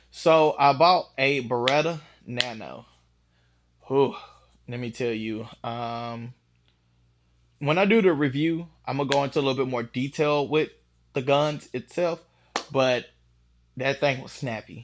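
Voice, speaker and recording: Someone with a Southern US accent talks at a fairly slow pace, leaving long, frequent pauses. The loudness swings widely while the pitch varies in an ordinary way. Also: man, fairly high pitch for a man. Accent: country (Southern US). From Texas, Dallas. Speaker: firearms YouTuber, beginner shooter. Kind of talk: casual vlog chat. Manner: casual, hesitant with fillers.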